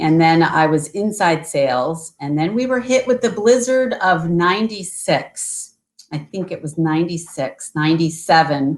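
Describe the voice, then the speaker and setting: Speaking at a fairly slow pace in a US Northeastern accent, a woman uses a fairly low pitch and lively intonation. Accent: US Northeast. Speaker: tour company sales representative. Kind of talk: interview on video call. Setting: video call.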